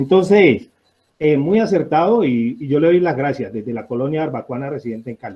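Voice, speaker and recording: With lively intonation, a man talks at a moderate pace in a fairly high pitch. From Colombian Pacific coast (Barbacoas, Nariño). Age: 60s. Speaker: audience participant. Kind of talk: public discussion comment. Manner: halting, many fillers.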